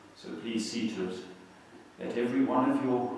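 A man at a moderate pace, with strong room echo and light background noise. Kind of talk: public prayer. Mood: calm, solemn. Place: church.

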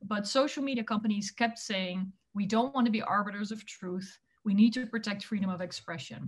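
A woman talks at a fairly quick pace, somewhat breathy, with fairly even intonation. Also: medium pitch for a woman. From Netherlands. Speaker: tech policy expert, former politician; former politician. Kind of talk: interview. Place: home room. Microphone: webcam.

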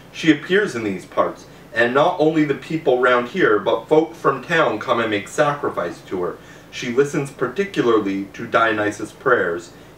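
Against light background noise and audible room echo, a man with a fairly high pitch speaks at a moderate pace with very wide pitch swings. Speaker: reader of a classical novel. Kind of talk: audiobook reading aloud of an ancient Greek novel. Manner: measured, narrative storytelling pace with formal tone. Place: home room.

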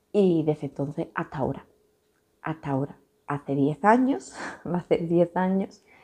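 With an Andalusian accent and a dark, mellow tone, the speaker uses lively intonation at a moderate pace, leaving long, frequent pauses against a quiet background. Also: woman, fairly low pitch for a woman. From Andalucía, Huelva province (Sierra de Huelva village); Andalucía, Spain. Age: 20s. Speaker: YouTuber, stay-at-home mother; YouTuber. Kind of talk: casual Q&A vlog. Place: home room. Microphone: phone near.

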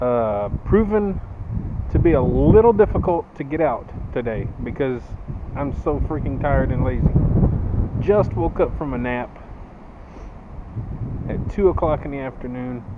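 Amid noticeable background noise, a man talks at a moderate pace with long, frequent pauses. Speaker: cyclist vlogger. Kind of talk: casual vlog chat. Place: open country. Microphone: phone near.

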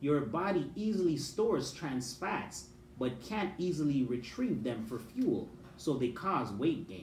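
Speaking at a fairly slow pace, a man swings his pitch widely while the room echo is audible. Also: fairly high pitch for a man.

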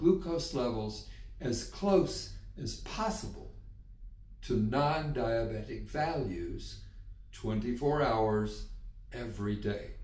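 A man speaks very slowly, with audible room echo around his voice. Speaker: health educator. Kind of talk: educational explainer. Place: home room.

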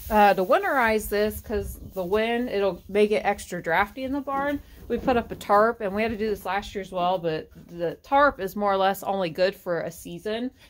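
At a moderate pace and with hardly any pauses, a woman talks with ordinary pitch variation against light background noise. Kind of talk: casual vlog chat. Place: farm machine. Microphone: phone near.

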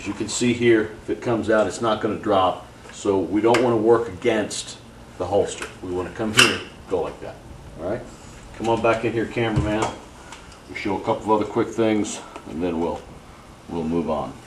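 Noticeable background noise runs behind a man's voice. He speaks at a fairly low pitch with ordinary pitch variation. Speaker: holster maker demonstrating product. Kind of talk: tutorial. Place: workshop. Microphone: camera far.

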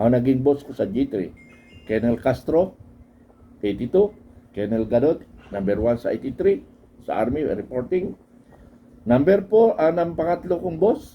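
This man speaks at a fairly slow pace. His pitch swings very widely. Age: old. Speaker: retired army officer and political vlogger. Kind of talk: political commentary monologue. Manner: animated, conversational with laughs.

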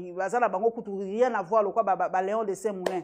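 A woman's medium-pitched voice stays flat and monotone throughout. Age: 50s. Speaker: journalist. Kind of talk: interview.

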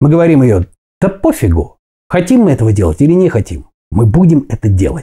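A man's fairly high, somewhat breathy voice with a dark, mellow tone and very wide pitch swings, at a moderate pace over a quiet background. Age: 40s. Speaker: fitness video blogger; fitness vlogger. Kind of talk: motivational talk to camera. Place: kitchen. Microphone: lapel.

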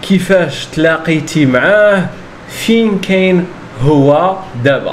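A high-pitched male voice over light background noise. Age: 20s. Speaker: Darija teacher. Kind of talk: podcast conversation. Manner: slow, clear. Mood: friendly, smiling. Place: home room. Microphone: handheld.

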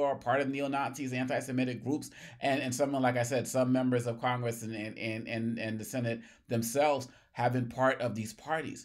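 Against a quiet background, a man talks at a fairly quick pace with fairly even intonation. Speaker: political commentator. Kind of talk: commentary. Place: office.

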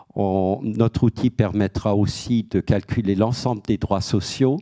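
A man with an Alsatian accent has a dark, mellow tone and a fairly low pitch. His intonation is fairly even over a quiet background. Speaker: head of a debt-counselling association, panelist; guest. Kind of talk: panel talk; panel discussion answer. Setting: auditorium with audience. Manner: hesitant, many repeated words. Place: hall. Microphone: handheld.

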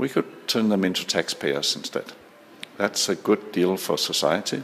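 In a Danish accent, a man talks with a very deep, low pitch and ordinary pitch variation. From Denmark. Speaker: social entrepreneur. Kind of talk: interview. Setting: conference.

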